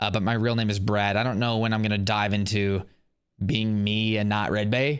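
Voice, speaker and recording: In a very clean recording with a silent background, a man with an American accent speaks at a moderate pace and medium pitch. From US Midwest, Indiana. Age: 20s. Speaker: podcast host, Marine veteran and police officer. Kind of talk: casual monologue podcast. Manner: casual, many filler words.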